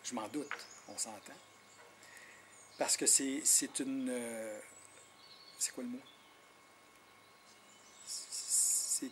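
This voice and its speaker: The speech moves at a very slow pace with long, frequent pauses. Loudness swings widely while intonation stays fairly even. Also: man, medium pitch for a man. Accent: Quebec. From Quebec, Innu nation. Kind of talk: interview. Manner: hesitant, repeats words.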